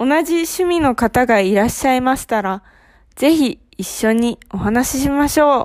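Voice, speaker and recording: Lively intonation at a fairly slow pace on a very clean recording with a silent background. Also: woman. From Japan, Ehime Prefecture. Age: 20s. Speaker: Japanese language teacher, podcast host. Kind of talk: scripted language lesson. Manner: slow, clear delivery for learners.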